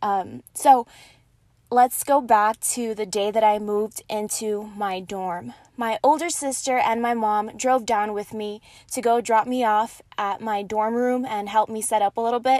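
In a very clean recording with a silent background, a woman with an American accent talks at a fairly slow pace and a fairly high pitch. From El Paso, Texas. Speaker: podcast host. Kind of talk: casual monologue. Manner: animated.

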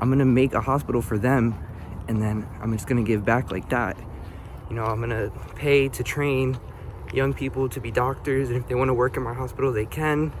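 Over noticeable background noise, a man with an American accent talks at a fairly quick pace and medium pitch, his intonation fairly even. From North Philadelphia, US. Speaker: motivational vlogger. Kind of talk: casual vlog monologue. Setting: outdoors, walking to bus stop.

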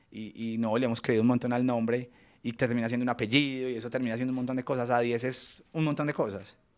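Flat and monotone, a man speaks at a very fast pace in a very clean recording with a silent background. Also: medium pitch for a man. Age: 30s. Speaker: fashion and interior design entrepreneur. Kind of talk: interview conversation.

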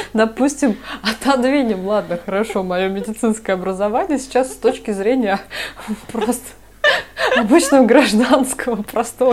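A woman speaks at a moderate pace with a fairly high pitch and ordinary pitch variation, leaving long, frequent pauses. Noticeable background noise can be heard. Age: 30s. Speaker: podcast co-host, doctor. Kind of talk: casual chat.

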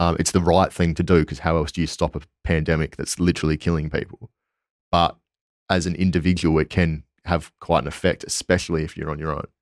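Spoken very fast in a flat monotone with an Australian accent, the voice sounds dry and close with no echo on a very clean recording over a silent background. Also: man, very deep, low pitch for a man. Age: 20s. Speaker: PhD student. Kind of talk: casual interview. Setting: in person.

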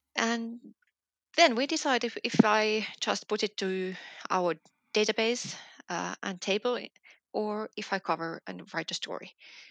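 Spoken with a Finnish accent, the voice moves at a fairly slow pace with ordinary pitch variation and long, frequent pauses. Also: woman, fairly high pitch for a woman. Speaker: business journalist. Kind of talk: interview. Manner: hesitant, with fillers.

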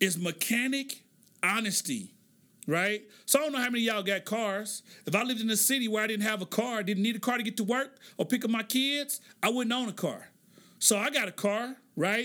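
Raising and projecting his voice, a man with an American accent talks at a fairly quick pace in an animated tone, high-pitched with ordinary pitch variation. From Oklahoma, US. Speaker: podcast host. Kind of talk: solo commentary podcast.

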